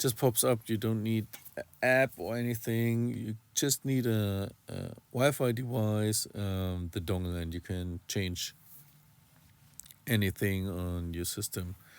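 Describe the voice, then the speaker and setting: Speaking very slowly with a non-native accent, a man uses fairly low pitch and ordinary pitch variation. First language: not English. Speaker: RC hobby YouTuber. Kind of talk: tutorial. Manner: halting, many fillers.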